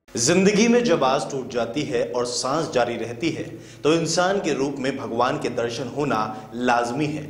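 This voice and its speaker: Fairly high-pitched male voice with ordinary pitch variation and noticeable background noise. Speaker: news reporter. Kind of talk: TV news voice-over narration.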